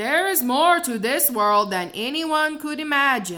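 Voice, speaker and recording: A woman uses a put-on character voice with a high pitch. Her pitch swings very widely at a fairly slow pace. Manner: booming, ponderous.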